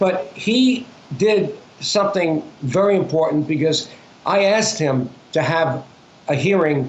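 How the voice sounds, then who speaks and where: A man with a high voice speaks in a room with audible echo. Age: 80s+. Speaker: former politician and activist. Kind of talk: interview. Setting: phone call.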